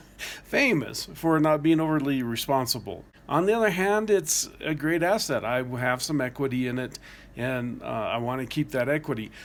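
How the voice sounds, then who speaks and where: At a moderate pace, a man with an unremarkable speaking voice talks at a fairly high pitch with lively intonation. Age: 60s. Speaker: vlogger planning van life. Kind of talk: casual video blog monologue.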